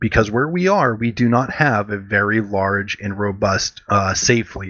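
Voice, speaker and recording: Noticeable noise fills the background. Through it, a man is talking. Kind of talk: game tutorial talk, casual explanation. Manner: monotone.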